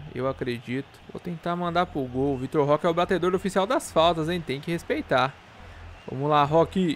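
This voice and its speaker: A man talks at a moderate pace and a fairly high pitch, with ordinary pitch variation and light background noise. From Brazil. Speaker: gaming youtuber; gaming streamer. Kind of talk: gameplay commentary. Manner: animated. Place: home room.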